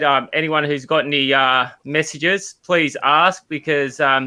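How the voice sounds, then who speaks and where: Against a quiet background, a man with an Australian accent speaks at a fairly high pitch in a bright, sharp tone. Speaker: podcast co-host. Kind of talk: casual chat. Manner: loud, excited.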